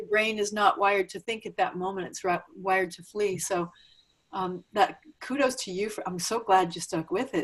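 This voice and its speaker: A woman with a normal speaking voice talks at a moderate pace and a medium pitch, her intonation fairly even but her loudness swinging a lot. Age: 60s. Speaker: interview host. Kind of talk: interview conversation.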